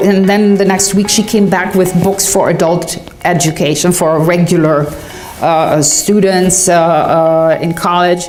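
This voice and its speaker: At a fairly slow pace, a woman speaks in a medium pitch with monotone, flat intonation and very even loudness, amid audible room echo and noticeable background noise. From Germany. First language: German. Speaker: patent attorney. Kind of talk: interview. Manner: halting, many fillers.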